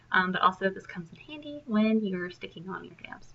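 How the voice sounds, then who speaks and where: A woman at a medium pitch and moderate pace over noticeable background noise. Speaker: independent sales consultant. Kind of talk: tutorial. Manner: hesitant, many ums.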